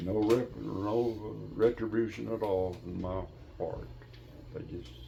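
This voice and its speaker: A man speaks at a very slow pace with an Appalachian accent. His pitch is fairly low and his intonation lively. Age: 80s+. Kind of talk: interview answer. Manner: storytelling.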